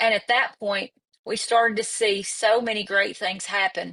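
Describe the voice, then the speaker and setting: Speaking at a fairly slow pace with an East Tennessee accent, a woman has a fairly high pitch and a bright, sharp tone. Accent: Southern East Tennessee. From US South, East Tennessee. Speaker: executive director of a professional association. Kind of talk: virtual event opening remarks. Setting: virtual webinar.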